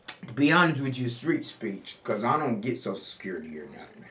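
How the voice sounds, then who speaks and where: A man speaks at a fairly quick pace with medium pitch, big swings in loudness, and noticeable background noise. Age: 60s. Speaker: homeless street newspaper vendor. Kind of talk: interview.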